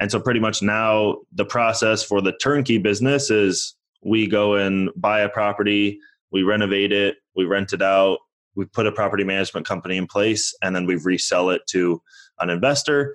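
A man talks at a moderate pace with fairly low pitch and ordinary pitch variation, in an ordinary speaking voice. His loudness stays very even against a quiet background. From born in Toronto, raised in US. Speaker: real estate investor. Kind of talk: interview.

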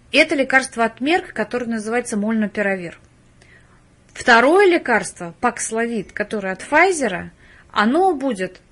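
Over a quiet background, a woman with an ordinary speaking voice talks at a fairly slow pace in a fairly high pitch, her intonation lively. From Russia, Penza. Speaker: biology professor, microbiologist. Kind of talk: interview.

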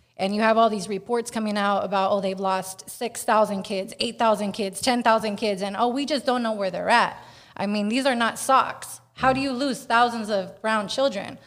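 A woman with an American accent and an ordinary speaking voice, fairly high in pitch, at a moderate pace with hardly any pauses and fairly even intonation, in a very clean recording with a silent background. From Northern California (Bay Area). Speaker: activist. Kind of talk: casual chat.

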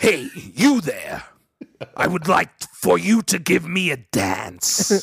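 Putting on a character voice, a man speaks raspy and high-pitched at a fairly slow pace. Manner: demanding, haughty.

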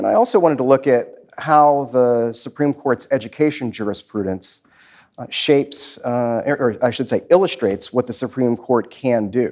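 A man with an American accent uses an ordinary speaking voice, medium in pitch with ordinary pitch variation, at a moderate pace on a very clean recording with a silent background. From Washington, D.C. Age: 40s. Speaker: law professor. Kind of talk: live interview before an audience. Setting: stage with audience.

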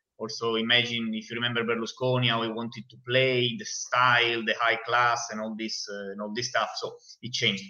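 Against noticeable background noise, a man with an Italian accent talks at a fairly quick pace and a medium pitch, with monotone, flat intonation and big swings in loudness. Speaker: football fan and guest pundit. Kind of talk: casual chat. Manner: halting.

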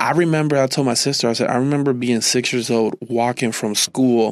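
In a dry, close sound with no echo, a man with a Puerto Rican accent speaks at a medium pitch and moderate pace with fairly even intonation. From Puerto Rico. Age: 30s. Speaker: pastor sharing testimony. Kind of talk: testimony.

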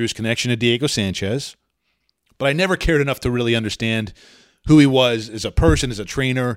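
An ordinary speaking voice belongs to a man who talks at a fairly quick pace with ordinary pitch variation. The recording is very clean, the background silent. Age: 40s. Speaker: MMA journalist and podcast host. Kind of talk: solo podcast commentary. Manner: casual with frequent fillers.

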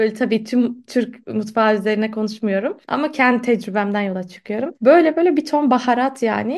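With an ordinary speaking voice, a woman talks at a moderate pace and a fairly high pitch, using ordinary pitch variation and hardly any pauses. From Istanbul, Turkey. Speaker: literature podcast host. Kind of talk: casual chat. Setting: remote call.

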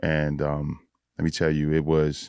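Recorded very cleanly against a silent background, a man with a New York accent speaks at a very deep, low pitch. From New York (Bronx, then Yonkers). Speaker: police SWAT officer. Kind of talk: casual chat. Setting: studio.

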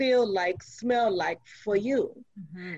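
With an unremarkable speaking voice, a woman talks at a fairly slow pace with ordinary pitch variation. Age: 60s. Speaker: domestic violence survivor. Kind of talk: casual chat.

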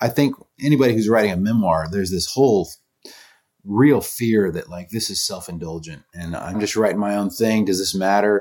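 In an American accent and an unremarkable speaking voice, the speaker shows ordinary pitch variation on a very clean recording with a silent background. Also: man, fairly low pitch for a man, fairly quick pace. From US South, North Florida. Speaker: singer-songwriter and author. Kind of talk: interview.

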